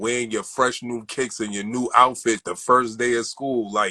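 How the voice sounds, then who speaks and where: A man speaks at medium pitch with a bright, sharp tone. His delivery is monotone and flat, at a fairly slow pace. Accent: New York. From Brooklyn, New York (Crown Heights). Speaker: sneaker collector. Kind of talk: interview. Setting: livestream.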